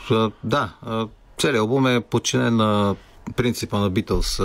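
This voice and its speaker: This man has a normal speaking voice, pitched fairly low. His pitch varies in an ordinary way. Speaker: rock musician. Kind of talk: radio interview.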